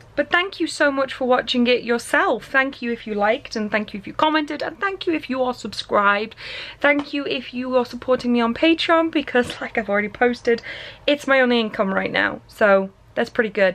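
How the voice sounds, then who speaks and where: Speaking at a fairly quick pace, a woman uses a high pitch. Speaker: vlogger. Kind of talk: casual vlog chat. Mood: warm, nostalgic, laughing. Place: home room. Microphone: phone near.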